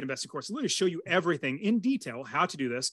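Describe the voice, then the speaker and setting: An enthusiastic tone at a very fast pace with very wide pitch swings. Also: man. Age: 40s. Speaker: real estate investor and coach. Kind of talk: podcast interview.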